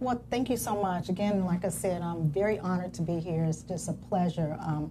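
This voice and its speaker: The speaker has an American accent and ordinary pitch variation. The pace is fairly quick, and the loudness stays very even. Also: woman, fairly low pitch for a woman. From Alexandria, Virginia (DC area). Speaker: talk show guest. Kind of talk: interview. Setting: studio with live audience.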